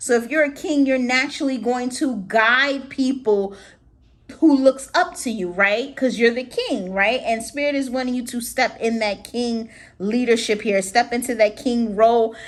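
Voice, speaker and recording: High-pitched speech from a woman at a moderate pace, with ordinary pitch variation. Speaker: tarot reader. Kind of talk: tarot reading. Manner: casual, halting.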